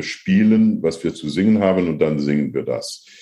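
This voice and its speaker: In a dark, mellow tone, a man speaks at a very deep, low pitch. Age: 60s. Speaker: opera and new music singer, professor. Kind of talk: interview. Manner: halting.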